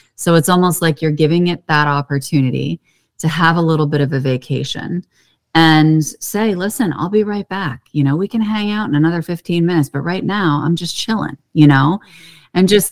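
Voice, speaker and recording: This woman has an unremarkable speaking voice, fairly low in pitch, with an American accent. She moves at a moderate pace with ordinary pitch variation. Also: dry, close sound with no echo. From US, Pittsburgh, Pennsylvania. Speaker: holistic therapist and Akashic records channel. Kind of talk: casual interview.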